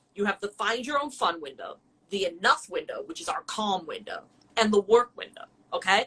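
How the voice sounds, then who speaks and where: A woman's bright, sharp, animated voice, fairly high and fairly quick, with very wide pitch swings and big swings in loudness. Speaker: dog trainer. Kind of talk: educational explanation in a live-stream chat.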